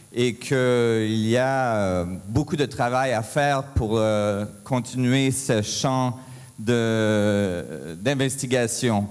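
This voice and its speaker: In a room with audible echo, a man talks at a very slow pace with ordinary pitch variation. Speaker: physicist, conference speaker. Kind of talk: conference talk. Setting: stage with audience. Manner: halting, many hesitations.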